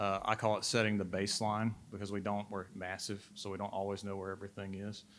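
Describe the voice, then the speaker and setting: Someone with a Southern US accent rushes along at a very fast pace with hardly any pauses and a monotone, flat intonation, in a very clean recording with a silent background. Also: man, fairly low pitch for a man. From Mississippi. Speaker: state transportation data manager. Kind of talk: panel discussion.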